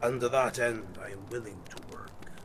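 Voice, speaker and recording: A man speaks in a put-on character voice at a medium pitch and a moderate pace. Background noise is clearly audible. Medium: audio drama.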